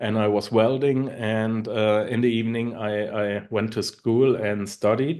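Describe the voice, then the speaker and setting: With a German accent, this man talks at a fairly slow pace and a medium pitch, his intonation fairly even and his speech carrying hardly any pauses. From Germany. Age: 40s. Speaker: online marketer and podcaster. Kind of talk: interview. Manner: halting.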